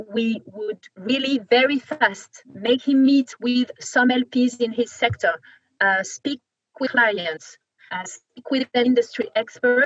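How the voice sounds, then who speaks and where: A woman with a French accent speaks at a very slow pace in a high voice with ordinary pitch variation, her sound dry and close with no echo. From France. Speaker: venture capital investor. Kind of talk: interview. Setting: video call.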